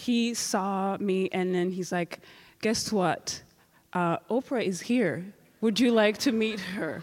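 At a very slow pace, a woman speaks at a medium pitch with ordinary pitch variation on a very clean recording with a silent background. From Rwanda. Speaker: genocide survivor. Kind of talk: testimony. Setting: stage with audience.

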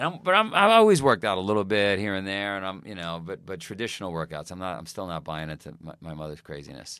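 A man's very deep, low voice in a New York accent, bright and sharp in tone, very fast with hardly any pauses, big swings in loudness and ordinary pitch variation, on a very clean recording with a silent background. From US Northeast, Queens, New York. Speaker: fitness company founder. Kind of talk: casual chat.

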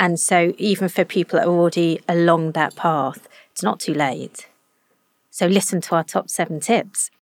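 Recorded very cleanly against a silent background with a dry, close sound and no echo, a woman with an unremarkable speaking voice talks at a moderate pace, fairly low in pitch, with ordinary pitch variation. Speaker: nutrition scientist.

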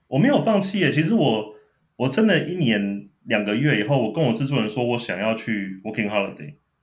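Lively intonation carries a fairly quick delivery, with audible room echo around the voice. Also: man, medium pitch for a man. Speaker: former TV producer. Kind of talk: casual chat. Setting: remote call.

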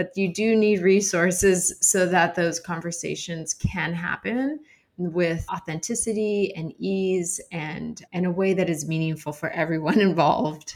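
In an American accent, a woman with a fairly low pitch talks at a fairly slow pace with hardly any pauses and ordinary pitch variation, in an ordinary speaking voice. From Arizona. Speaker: founder of a children's Bible storytelling organization. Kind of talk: interview.

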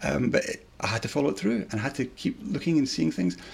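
With a Scottish accent, a man talks at a very fast pace. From central Scotland. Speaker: convert to Judaism. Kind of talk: interview testimony.

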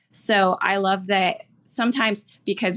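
Against a quiet background, a woman with an American accent and an unremarkable speaking voice talks at a medium pitch with fairly even intonation. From Houston, Texas. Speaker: bank lender. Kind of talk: interview.

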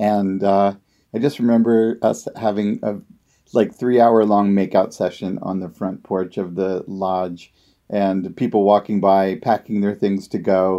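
Over a quiet background, a man with a fairly low, dark, mellow voice speaks fairly slowly in a flat monotone. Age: 50s. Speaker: housemate renting a room. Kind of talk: casual chat.

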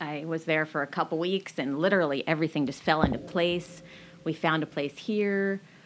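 With an American accent, a woman talks at a fairly quick pace in a fairly low pitch with ordinary pitch variation. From Washington State, US (Marysville). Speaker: clothing store owner. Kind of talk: interview. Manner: animated.

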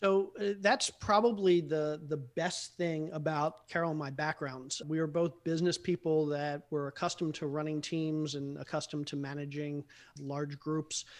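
A man talks at a moderate pace in a fairly high voice with fairly even intonation and hardly any pauses, an unremarkable speaking voice. The background is quiet. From US, Baltimore. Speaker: real estate investor. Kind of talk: interview.

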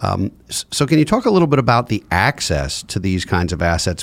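A man has an ordinary speaking voice, fairly low in pitch, at a moderate pace. The sound is dry and close with no echo, on a very clean recording with a silent background. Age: 40s. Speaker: podcast host, financial advisor. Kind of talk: interview.

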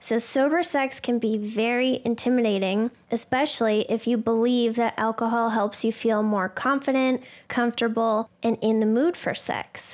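A woman with an unremarkable speaking voice and a fairly high pitch. She talks at a fairly slow pace with ordinary pitch variation. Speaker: podcast host. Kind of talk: casual interview.

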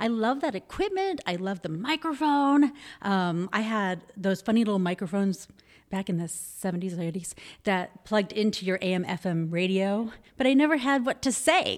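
A woman with an American accent speaks at a moderate pace in a normal speaking voice, her pitch medium and her intonation lively. The recording is very clean, with a silent background. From Arizona, Phoenix area. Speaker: TV news anchor. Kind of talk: casual chat. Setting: studio.

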